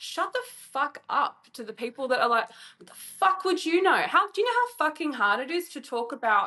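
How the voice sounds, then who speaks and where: Loud and projected, a woman talks at a moderate pace with an animated, bright, sharp tone, very wide pitch swings, big swings in loudness and hardly any pauses. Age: 30s. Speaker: writer and sex worker. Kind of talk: casual chat.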